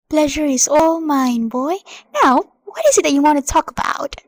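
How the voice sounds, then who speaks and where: This woman puts on a character voice pitched high. She talks at a moderate pace. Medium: stage play.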